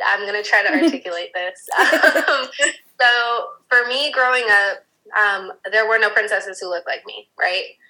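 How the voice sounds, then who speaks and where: The speaker is a woman whose voice sits fairly high. She talks neither quickly nor slowly. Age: 30s. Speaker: Disney content creator and mom. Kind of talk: interview conversation. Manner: hesitant, with many fillers.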